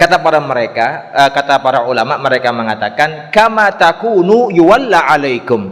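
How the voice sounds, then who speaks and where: Amid noticeable background noise, the speech moves at a moderate pace with hardly any pauses and very wide pitch swings. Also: man, fairly high pitch for a man. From East Java, Indonesia. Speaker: Islamic preacher. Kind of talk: religious lecture with Q&A.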